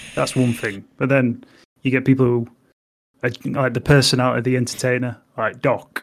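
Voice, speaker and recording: A man with an English accent at a medium pitch, fairly quick in pace, flat and monotone in intonation, broken by long, frequent pauses. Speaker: podcast co-host and streamer. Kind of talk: casual chat.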